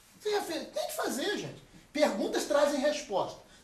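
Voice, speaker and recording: The speech moves at a very fast pace. There is audible room echo and noticeable background noise. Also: man. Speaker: pastor. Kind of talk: sermon. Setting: church retreat talk with audience.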